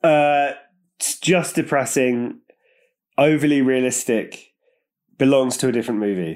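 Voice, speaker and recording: A man with a British accent talks at a fairly slow pace with ordinary pitch variation and long, frequent pauses. The recording is very clean, with a silent background. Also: medium pitch for a man. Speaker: film podcast co-host. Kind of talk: casual chat. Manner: laughs often, jokey.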